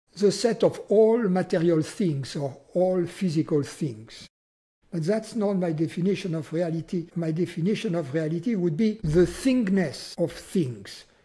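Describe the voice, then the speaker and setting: A man with a French accent, high-pitched, dark and mellow in tone, with ordinary pitch variation at a fairly slow pace. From France. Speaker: spiritual teacher. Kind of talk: philosophical conversation.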